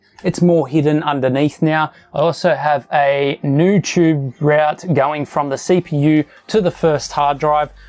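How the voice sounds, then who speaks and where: A man talks very slowly while faint music plays behind him. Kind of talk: setup tour commentary. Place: home room.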